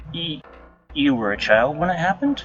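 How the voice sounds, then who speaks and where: Putting on a character voice, a man mumbles at a fairly high pitch and moderate pace with lively intonation. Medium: read story. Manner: nervous, stammering, mumbling.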